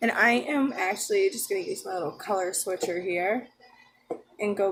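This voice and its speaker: At a moderate pace, a woman talks quietly over noticeable background noise. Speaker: beauty vlogger. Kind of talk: makeup tutorial. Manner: casual.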